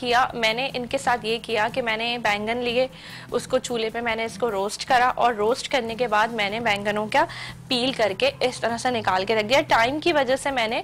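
Light background noise sits under a woman's voice. She talks at a fairly slow pace with fairly even intonation. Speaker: cooking show host. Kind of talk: tutorial. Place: studio.

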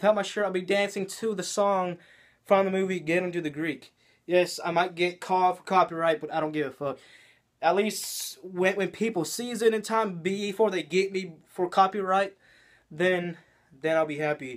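A high-pitched man with an American accent and fairly even intonation, over a quiet background. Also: moderate pace. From US South, Georgia. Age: young. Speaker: YouTuber. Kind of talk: vlog monologue. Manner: halting. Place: home room. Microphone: phone near.

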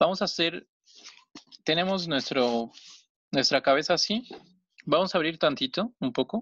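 A man with a high voice speaks at a moderate pace with lively intonation, leaving long, frequent pauses, and the sound is dry and close with no echo. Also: quiet background. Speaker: origami teacher. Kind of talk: tutorial. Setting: video call.

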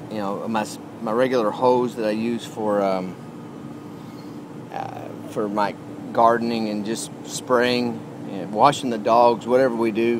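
Over noticeable background noise, a man talks at a fairly slow pace in a monotone, flat intonation, the sound dry with no echo. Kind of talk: casual tutorial. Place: garden. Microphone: phone near.

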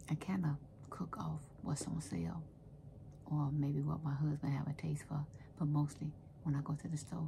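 Against light background noise, a woman with a very deep, low pitch speaks at a moderate pace with fairly even intonation. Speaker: home cook vlogger. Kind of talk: casual vlog chat. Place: home room. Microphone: phone near.

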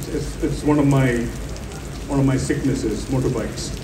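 Over noticeable background noise, a man talks at a fairly quick pace and a fairly high pitch. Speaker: panel speaker, traveler. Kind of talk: panel discussion at a literary festival. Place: stage.

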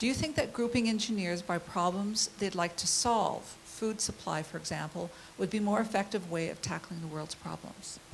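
The delivery has a moderate pace and ordinary pitch variation. Light background noise can be heard. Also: woman, medium pitch for a woman. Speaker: event moderator. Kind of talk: formal introduction and Q&A moderation. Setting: stage with audience. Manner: formal, somewhat halting. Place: classroom. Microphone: handheld.

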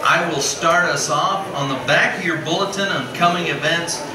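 A man talks rather slowly, with the room's echo audible and noticeable noise in the background. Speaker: pastor. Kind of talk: church announcements. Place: church. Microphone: camera far.

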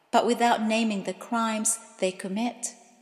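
A woman speaks fairly slowly in a normal speaking voice, pitched fairly high. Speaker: poet. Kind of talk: poetry reading.

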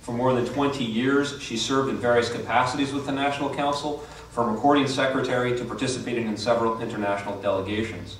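A man talking at a very fast pace with fairly even intonation and hardly any pauses, amid light background noise and audible room echo. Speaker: event host introducing speaker. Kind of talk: formal introduction speech. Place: hall.

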